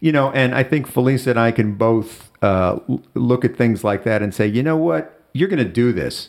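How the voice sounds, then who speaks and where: Using a normal speaking voice, a man with an American accent talks at a moderate pace with ordinary pitch variation, very even loudness and hardly any pauses. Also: medium pitch for a man, very clean recording, silent background. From US Midwest, Chicago. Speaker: friend of the host. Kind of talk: casual chat.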